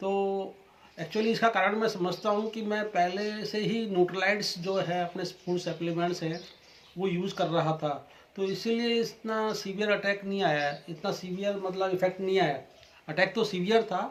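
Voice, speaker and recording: A high-pitched male voice with fairly even intonation. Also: moderate pace. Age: 60s. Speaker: customer giving testimonial. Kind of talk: testimony.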